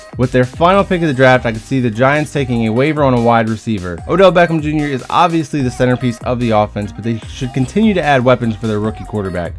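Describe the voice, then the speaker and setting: Over music in the background, a man talks at a very fast pace with a medium pitch and lively intonation. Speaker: sports commentator. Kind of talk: sports analysis narration.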